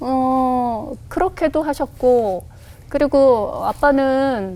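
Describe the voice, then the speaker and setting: A woman speaks very slowly at a high pitch. Her tone is dark and mellow. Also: ordinary pitch variation. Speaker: pastor. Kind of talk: testimony interview.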